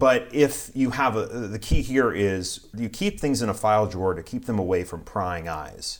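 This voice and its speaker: A man speaks at a fairly low pitch with ordinary pitch variation and an unremarkable speaking voice. The recording is very clean, with a silent background. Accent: American. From US South, South Carolina. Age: 30s. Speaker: pastor. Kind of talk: casual interview.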